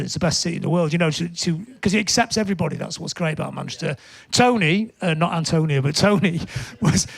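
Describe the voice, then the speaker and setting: A man speaks with a Lancashire accent at a high pitch. His pitch varies in an ordinary way. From northern England, Blackpool. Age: 60s. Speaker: punk musician and music writer. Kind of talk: interview chat. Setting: studio, live show. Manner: animated.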